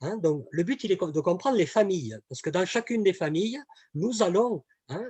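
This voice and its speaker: Speaking in a southern French accent with lively intonation, a man comes through with a dry, close sound and no echo. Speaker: communication trainer. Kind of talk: webinar presentation. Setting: online webinar. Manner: hesitant, many fillers and repetitions.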